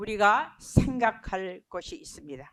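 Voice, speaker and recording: A woman speaks at a fairly high pitch. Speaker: missionary Bible teacher. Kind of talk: Bible study lecture. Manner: mixes English words into Korean.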